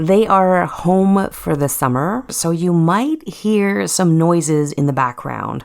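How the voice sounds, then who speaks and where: In a very clean recording with a silent background, a woman speaks very slowly with lively intonation. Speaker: parenting podcast host. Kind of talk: podcast monologue. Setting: home.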